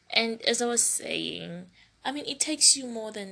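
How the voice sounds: The voice has a bright, sharp tone with a slightly husky edge and vocal fry, moving at a fairly slow pace. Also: woman.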